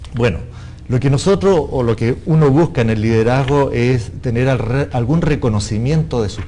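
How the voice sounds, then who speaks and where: Lively intonation comes through over noticeable background noise and audible room echo. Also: man. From Chile. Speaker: international business development consultant. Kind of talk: panel discussion.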